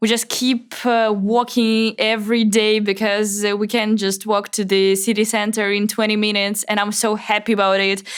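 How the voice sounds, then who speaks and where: In a Russian accent, a woman speaks at a fairly high pitch and a moderate pace, with monotone, flat intonation, hardly any pauses and very even loudness. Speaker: Russian emigrant journalist. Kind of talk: interview. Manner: halting.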